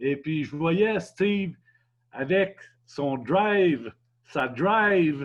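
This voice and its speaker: A man with a Quebec accent talks with ordinary pitch variation. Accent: Québécois French. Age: 70s. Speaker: customer. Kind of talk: testimony. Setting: video call. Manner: halting.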